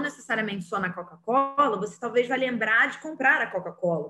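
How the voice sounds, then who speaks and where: Lively intonation runs through this woman's speech. Hers is an ordinary speaking voice at a fairly high pitch. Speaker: teacher. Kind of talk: online lecture.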